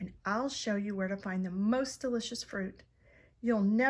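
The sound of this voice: Ordinary pitch variation in an unforced reading voice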